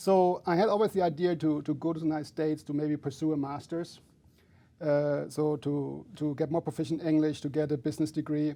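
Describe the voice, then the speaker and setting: With a German accent, a man talks at a fairly quick pace in a dark, mellow tone, his pitch fairly high and his intonation fairly even. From Germany. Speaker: finance professor. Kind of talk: interview. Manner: halting, many fillers.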